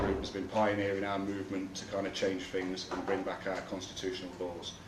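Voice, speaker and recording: A man with an East Midlands accent speaks at a fairly low pitch in a flat monotone. There is audible room echo and noticeable background noise. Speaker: activist speaker. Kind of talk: public talk. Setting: room with live audience, no mic. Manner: loud; halting.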